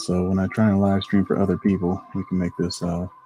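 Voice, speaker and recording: Over noticeable background noise, a man with an American accent talks at a very fast pace in a very deep, low pitch with fairly even intonation. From Ohio, US tri-state area. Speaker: photographer and live streamer. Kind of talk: live stream editing tutorial. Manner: casual, halting.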